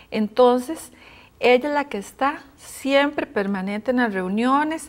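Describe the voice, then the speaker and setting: A woman speaks at a fairly slow pace with ordinary pitch variation. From Costa Rica. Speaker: housing foundation coordinator; guest. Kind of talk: interview; interview answer. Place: studio. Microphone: lapel.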